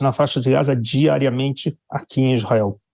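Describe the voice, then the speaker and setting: A man at a medium pitch speaks at a moderate pace, somewhat breathy, with a dark, mellow tone and fairly even intonation. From Brazil. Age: 60s. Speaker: Brazilian expat commentator on the Israel war. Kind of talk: news interview.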